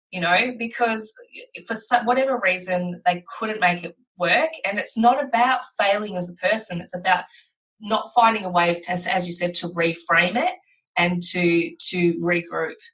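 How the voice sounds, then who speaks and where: Ordinary pitch variation from a woman with an Australian accent. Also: medium pitch for a woman, moderate pace. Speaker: podcast host. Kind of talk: casual chat.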